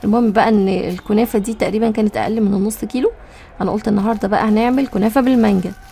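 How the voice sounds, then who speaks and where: In an Egyptian accent, a woman with a fairly high pitch talks at a very fast pace with fairly even intonation as music plays in the background. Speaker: cooking vlogger. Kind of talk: casual cooking vlog narration. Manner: chatty.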